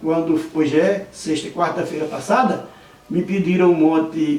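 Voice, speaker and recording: Amid noticeable background noise and audible room echo, a man speaks at a fairly slow pace in a fairly high pitch. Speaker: videomaker and poetry enthusiast. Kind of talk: interview.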